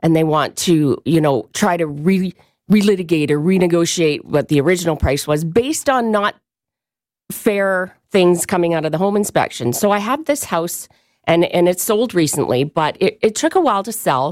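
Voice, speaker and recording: Using lively intonation, a woman talks at a moderate pace. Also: fairly low pitch for a woman. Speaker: real estate agent. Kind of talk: radio interview, professional tips chat. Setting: radio studio. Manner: conversational, hesitant with fillers.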